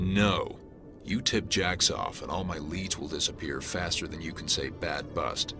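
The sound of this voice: Over faint music in the background, a man uses a put-on character voice at an extremely low pitch, with a bright, sharp tone, ordinary pitch variation and a fairly slow pace.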